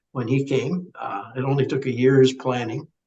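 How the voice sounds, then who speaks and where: A man's somewhat breathy voice at a moderate pace. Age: 70s. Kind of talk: podcast interview.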